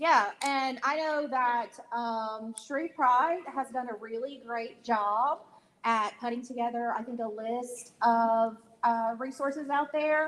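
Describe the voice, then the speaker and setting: Loud and very slow, a woman speaks with an American accent. Her high voice has ordinary pitch variation. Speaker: mental health counselor. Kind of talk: town hall panel discussion.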